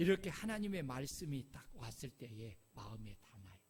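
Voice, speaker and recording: A man speaks at a fairly slow pace. Vocal fry runs through his voice. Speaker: pastor. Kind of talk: sermon. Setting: church. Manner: animated.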